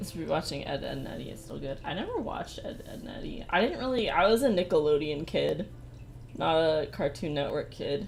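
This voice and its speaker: Amid audible room echo and noticeable background noise, a soft-spoken woman talks at a fairly quick pace, her loudness swinging widely. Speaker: streamer. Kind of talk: casual chat. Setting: live stream.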